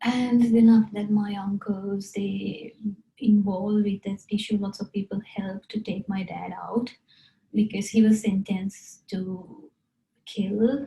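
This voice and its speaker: Speaking fairly slowly in a flat monotone, a woman with a Sri Lankan accent holds a medium pitch. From Sri Lanka, rural hill country. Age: 30s. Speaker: interviewee telling life story. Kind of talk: personal life story interview. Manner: halting, with fillers.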